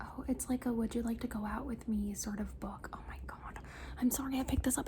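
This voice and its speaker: Moderate pace over noticeable background noise. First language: Spanish. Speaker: ASMR content creator. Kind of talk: ASMR show and tell. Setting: home room, ring light. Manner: soft-spoken with repeated trigger words.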